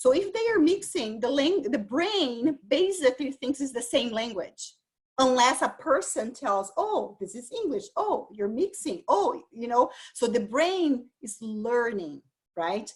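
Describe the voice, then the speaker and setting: A woman with a Brazilian accent speaks high in pitch at a fairly slow pace, her pitch swinging very widely. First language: Portuguese. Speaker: dyslexia and bilingualism expert presenter. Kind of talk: lecture.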